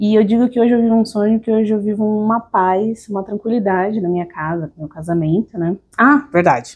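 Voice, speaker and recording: With a São Paulo accent, a woman talks at a fairly quick pace with hardly any pauses, her fairly high voice showing ordinary pitch variation. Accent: full São Paulo (paulista). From São Paulo, Brazil (moved there at age two). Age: 30s. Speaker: podcast guest, entrepreneur. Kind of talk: interview, personal storytelling.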